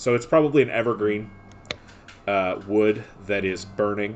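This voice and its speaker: This man has a Midwestern accent and a fairly low pitch. His pitch varies in an ordinary way. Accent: Midwest. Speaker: dungeon master. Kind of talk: tabletop role-play narration. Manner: hesitant, with fillers.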